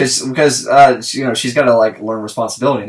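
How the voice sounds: A natural reading voice, plainly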